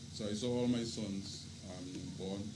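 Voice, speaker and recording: The man's voice carries audible echo from the room. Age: 70s. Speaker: father of the deceased. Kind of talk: eulogy. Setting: vigil gathering.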